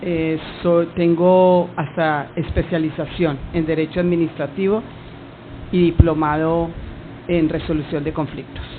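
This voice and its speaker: Noticeable background noise sits behind a woman with a fairly low pitch. She speaks at a fairly slow pace with monotone, flat intonation. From Colombia, Cali. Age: 60s. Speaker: witness, government lawyer. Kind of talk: sworn testimony. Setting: hearing room.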